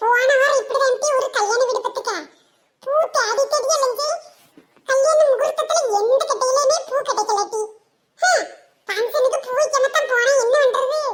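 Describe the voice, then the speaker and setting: A woman's cartoonish character voice at an extremely high pitch, delivered at a moderate pace. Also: ordinary pitch variation. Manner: doubting, argumentative.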